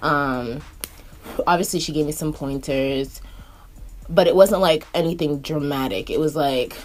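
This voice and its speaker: An animated woman's voice, very deep and low, at a fairly slow pace with long, frequent pauses and music in the background. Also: ordinary pitch variation. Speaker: beauty YouTuber and makeup artist. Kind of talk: casual chat while getting ready.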